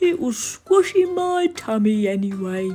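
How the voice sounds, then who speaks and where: A woman performs a put-on character voice, fairly high-pitched with very wide pitch swings, at a fairly slow pace. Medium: read story.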